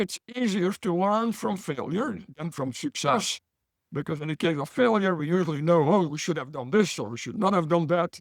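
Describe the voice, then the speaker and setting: With a Belgian accent, the speaker talks at a moderate pace with lively intonation in a dry, close sound with no echo. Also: man, high pitch for a man. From Belgium. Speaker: business professor.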